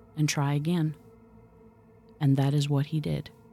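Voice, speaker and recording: Against music in the background, a woman speaks at a moderate pace in a dramatic, calm tone. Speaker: podcast host and storyteller. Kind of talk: scripted-style spooky storytelling, occult podcast narration; true-crime/horror narration, hushed and suspenseful retelling of an eerie encounter. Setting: studio podcast recording. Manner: measured, dramatic and suspenseful, building dread as the story unfolds; calm, mystical, storytelling cadence.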